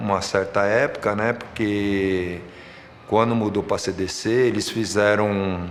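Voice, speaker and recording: A man's fairly slow speech carries audible room echo, with noticeable background noise behind it. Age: 60s. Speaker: football coach and referee. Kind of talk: documentary interview testimony.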